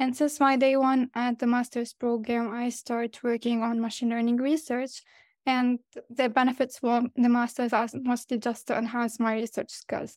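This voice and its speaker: On a very clean recording with a silent background and a dry, close sound with no echo, a woman with an Arabic accent speaks at a moderate pace in a high voice with monotone, flat intonation. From Lebanon. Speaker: PhD student and AI researcher. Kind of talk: interview.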